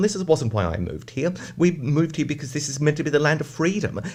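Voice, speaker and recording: This man talks at a very fast pace in an Australian accent. His pitch sits fairly high. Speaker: advocacy group representative. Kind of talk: radio interview.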